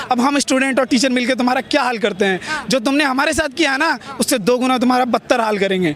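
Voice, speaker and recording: This man's voice is extremely high-pitched, with ordinary pitch variation and a moderate pace. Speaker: student protester. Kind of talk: street interview. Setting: outdoors at a protest. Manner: animated.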